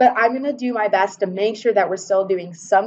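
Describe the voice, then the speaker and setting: A woman speaks in an unremarkable speaking voice. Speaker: biochemistry professor. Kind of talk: lecture. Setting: classroom.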